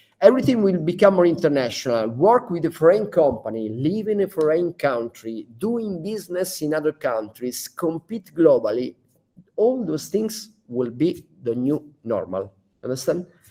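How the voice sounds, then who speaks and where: A man in an Italian accent, high-pitched with a dark, mellow tone, very wide pitch swings and a moderate pace. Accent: Italian accent, non-native English. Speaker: founder of a digital training school. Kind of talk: business talk to staff. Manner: halting, many fillers.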